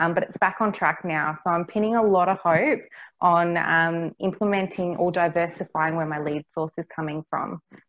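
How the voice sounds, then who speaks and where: A woman's fairly low voice in an Australian accent, fairly quick, with fairly even intonation. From Australia, Cairns, Far North Queensland. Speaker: property management business developer. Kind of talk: interview.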